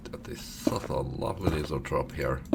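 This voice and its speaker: A man speaks quietly and at a fairly slow pace. The room echo is audible, and background noise is noticeable. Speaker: gaming youtuber. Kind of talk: let's play commentary.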